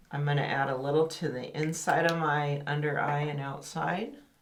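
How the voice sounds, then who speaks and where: With audible room echo and noticeable background noise, a woman speaks at a fairly slow pace with a very deep, low pitch and fairly even intonation. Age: 60s. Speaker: beauty and style channel host. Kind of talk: makeup tutorial.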